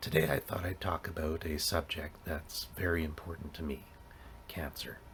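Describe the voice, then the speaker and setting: A man's very deep, low voice at a moderate pace, monotone and flat, over noticeable background noise. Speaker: cancer scientist. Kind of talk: casual talk to camera.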